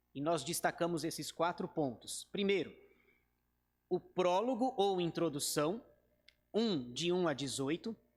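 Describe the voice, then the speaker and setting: A man speaks fairly slowly in a high voice with lively intonation. The recording is very clean and the background silent. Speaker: pastor. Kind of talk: bible study lecture. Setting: church.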